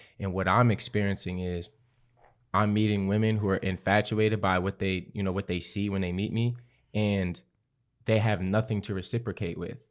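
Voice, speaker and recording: Monotone, flat intonation at a moderate pace, over a quiet background. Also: man, fairly low pitch for a man. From West Baltimore, US. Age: 20s. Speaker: guest. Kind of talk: casual podcast conversation.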